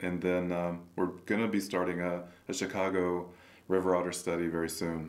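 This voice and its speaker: A man with an American accent speaks at a moderate pace in a very deep, low pitch. His delivery is flat and monotone, with audible room echo. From rural Kansas. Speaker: wildlife biology professor. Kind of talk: interview. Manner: halting.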